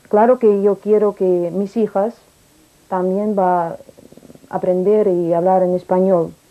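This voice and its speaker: A woman with a Russian accent speaks very slowly, with long, frequent pauses. Her medium-pitched voice has a dark, mellow tone and monotone, flat intonation. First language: Russian (speaking Spanish). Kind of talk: interview testimony. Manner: halting.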